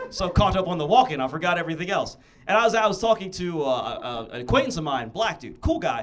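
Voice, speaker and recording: Amid noticeable background noise and audible room echo, a man talks very fast in an animated tone with very wide pitch swings. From US Midwest, Columbus Ohio. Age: 30s. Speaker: comedian. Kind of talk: stand-up. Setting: stage with audience.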